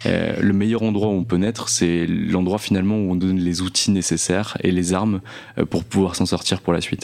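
Very deep and low, a man's voice stays monotone and flat. He keeps a moderate pace and very even loudness. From northeastern France (Nancy). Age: 20s. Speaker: entrepreneur. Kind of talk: interview. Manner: halting, many repeated words.

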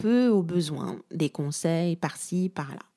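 Here is a woman with a fairly low pitch. Her tone is dark and mellow. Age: 20s. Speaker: podcast host, storytelling coach. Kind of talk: solo podcast monologue, personal story.

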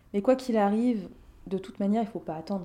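A woman's dark, mellow tone carries ordinary pitch variation. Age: 30s. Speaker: life coach. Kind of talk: interview.

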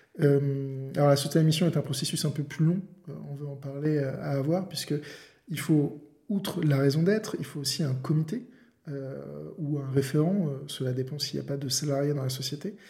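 Pausing long and often, a man with a fairly high pitch and a dark, mellow, somewhat breathy tone speaks at a moderate pace with ordinary pitch variation. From France, La Rochelle. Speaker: lawyer and podcast host. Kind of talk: interview.

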